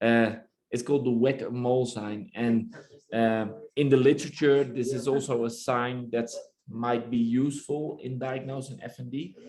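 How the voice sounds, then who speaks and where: In a room with audible echo, a man with a Dutch accent talks at a moderate pace, his medium pitch carried by fairly even intonation. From Netherlands. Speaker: neurologist. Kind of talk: lecture. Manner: halting.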